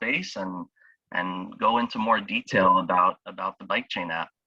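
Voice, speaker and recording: A man speaks at a moderate pace with a South Florida accent, the sound dry and close with no echo. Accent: American, South Florida. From US South, Miami, Florida. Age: 20s. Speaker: startup founder. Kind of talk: interview. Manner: halting, many fillers.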